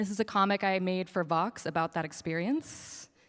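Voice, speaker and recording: A woman talks at a moderate pace and a medium pitch with ordinary pitch variation, in a plain, everyday voice. The recording is very clean with a silent background. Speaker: comics artist and teacher. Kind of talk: ignite talk.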